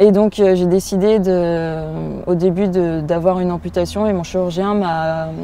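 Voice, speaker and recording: Her intonation monotone and flat, a woman speaks at a fairly low pitch. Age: 20s. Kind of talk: interview testimony. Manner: hesitant, many fillers.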